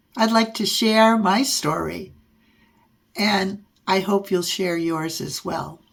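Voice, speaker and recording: Somewhat breathy, a woman's voice proceeds at a very slow pace. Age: 70s. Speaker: podcast host and adult harp learner. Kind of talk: personal storytelling monologue. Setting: podcast/video recording.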